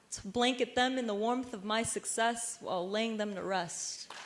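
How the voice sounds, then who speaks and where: There is noticeable background noise. A woman speaks with an American accent. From Vietnamese American. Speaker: spoken word poet. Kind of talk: spoken word poetry performance. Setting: university stage performance.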